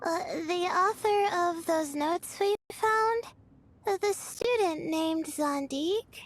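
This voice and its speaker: A woman's put-on character voice, extremely high in pitch, with very even loudness, ordinary pitch variation and a fairly slow pace. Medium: video game. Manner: hesitant, soft-spoken.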